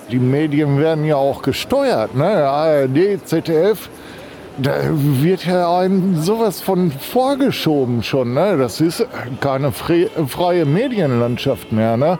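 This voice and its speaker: Over noticeable background noise, a man with a fairly high pitch speaks very slowly, his intonation lively and his loudness very even. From Berlin. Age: 40s. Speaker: protester. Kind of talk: street interview. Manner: emphatic.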